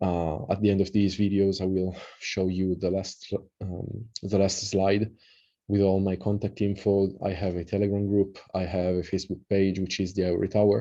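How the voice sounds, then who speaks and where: A man with an Italian accent speaks at a fairly low pitch in a dark, mellow tone, at a moderate pace. His intonation is monotone and flat, and the background is quiet. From Italy. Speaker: occult researcher and translator. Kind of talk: lecture. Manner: halting, many fillers; casual.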